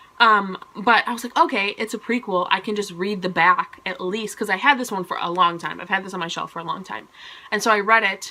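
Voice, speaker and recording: A woman speaks at a fairly quick pace in an animated tone with a medium pitch, ordinary pitch variation, big swings in loudness and noticeable background noise. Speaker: book vlogger. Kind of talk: casual monthly book review vlog. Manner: fast; animated, chatty.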